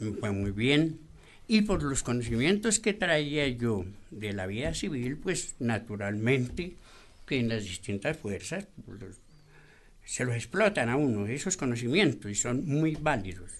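This man has a medium pitch and very wide pitch swings. He speaks at a fairly slow pace. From Colombia, Boyacá. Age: 80s+. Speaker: retired navy petty officer. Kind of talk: radio interview. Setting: studio.

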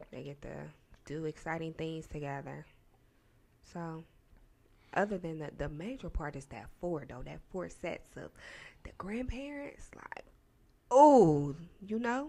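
Soft-spoken and at a fairly slow pace, a woman with a fairly low pitch and a dark, mellow tone uses very wide pitch swings and big swings in loudness, with long, frequent pauses. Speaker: podcast co-host. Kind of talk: casual chat.

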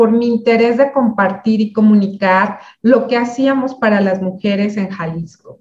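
Somewhat breathy and fairly slow, a woman with a Mexican accent speaks at a fairly high pitch with ordinary pitch variation. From Mexico, Michoacán. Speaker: speaker and community founder. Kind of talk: interview.

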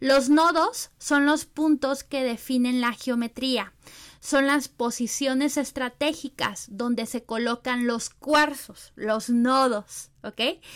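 A woman talks at a very slow pace in a high pitch with fairly even intonation. The recording is very clean, with a silent background. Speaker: spiritual teacher and podcast host. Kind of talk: casual teaching monologue. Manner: hesitant with filler repetitions.

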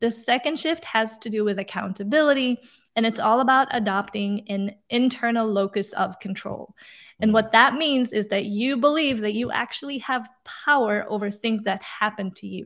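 Speaking with a non-native accent, a woman has a fairly high pitch. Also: ordinary pitch variation, moderate pace. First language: not English. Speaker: career coach and author. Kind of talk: interview. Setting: video call.

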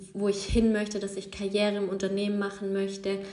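A woman's medium-pitched speech rings with audible room echo. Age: 20s. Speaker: yoga teacher and podcast host. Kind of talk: casual solo monologue. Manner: unscripted, with many fillers.

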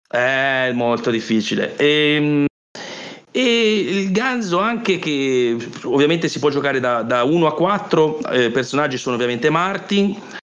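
This man speaks at a fairly slow pace with a fairly high pitch and very wide pitch swings. Audible room echo surrounds his voice. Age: 40s. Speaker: board gamer. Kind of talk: casual chat.

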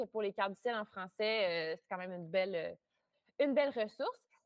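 An ordinary speaking voice from a woman, at a moderate pace and fairly high pitch. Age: 20s. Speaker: astrologer. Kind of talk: interview.

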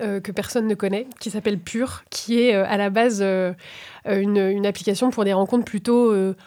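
A plain, everyday voice at a fairly slow pace with fairly even intonation. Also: woman. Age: 30s. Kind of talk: casual conversation.

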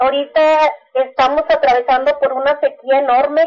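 At a moderate pace, a woman talks in a high pitch. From Chihuahua, Mexico. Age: 40s. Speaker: farmers' cooperative organizer. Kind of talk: interview.

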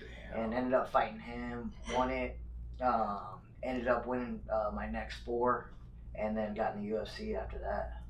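A man speaks at a fairly slow pace with an American accent. Audible room echo and noticeable background noise surround him. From Phoenix, Arizona. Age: 30s. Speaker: mixed martial arts fighter. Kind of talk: casual chat.

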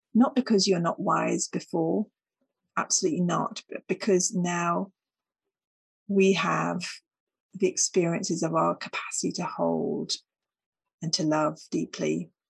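Recorded with a dry, close sound and no echo, a woman speaks at a fairly slow pace. Her pauses are long and frequent. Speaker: podcast host. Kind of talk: solo reflective monologue.

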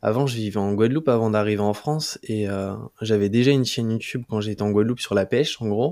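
Very fast, fairly even speech from a man at medium pitch, dark and mellow in tone, in a very clean recording with a silent background. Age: 20s. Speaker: YouTuber. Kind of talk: casual interview chat.

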